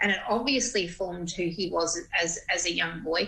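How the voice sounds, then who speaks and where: A woman speaks with an Australian accent at a moderate pace. Her pitch varies in an ordinary way. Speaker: radio presenter. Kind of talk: TV interview.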